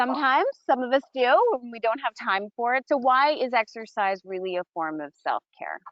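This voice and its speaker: A woman with a high pitch uses lively intonation, her loudness swinging widely. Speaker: nurse health coach. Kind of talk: casual chat. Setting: outdoors. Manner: fast.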